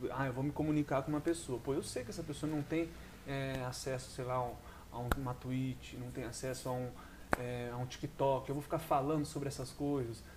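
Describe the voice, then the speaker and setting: With noticeable background noise, a man talks at a moderate pace, using medium pitch and fairly even intonation. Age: 20s. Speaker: podcast host. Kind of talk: solo monologue podcast. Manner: casual, halting with many fillers.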